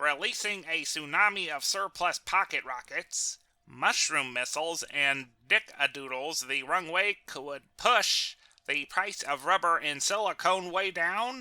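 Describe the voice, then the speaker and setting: A man in a put-on character voice with a high pitch, at a fairly slow pace. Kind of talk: NPR-style radio journalism. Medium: comedy sketch. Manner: deadpan, measured.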